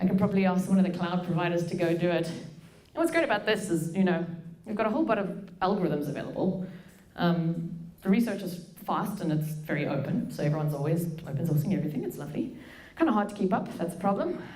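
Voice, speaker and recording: Someone speaks at a very fast pace with ordinary pitch variation over noticeable background noise and audible room echo. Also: woman, fairly low pitch for a woman. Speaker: machine learning engineer and researcher. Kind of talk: conference talk. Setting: stage with audience. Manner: casual.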